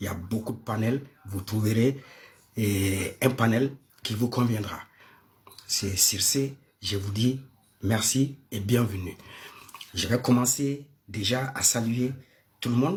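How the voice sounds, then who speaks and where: A man with a Malian accent, somewhat breathy, speaking at a very slow pace with long, frequent pauses and ordinary pitch variation. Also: medium pitch for a man. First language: Bambara (speaking French). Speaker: live-stream panel host. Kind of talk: live-stream talk. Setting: live stream with audience. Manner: hesitant, many fillers.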